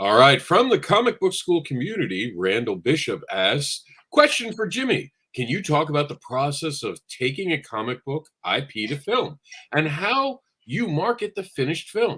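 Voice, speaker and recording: Vocal fry and very wide pitch swings in a bright, sharp tone at a moderate pace. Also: man, fairly high pitch for a man. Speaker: show engineer reading audience questions. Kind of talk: reading aloud audience question.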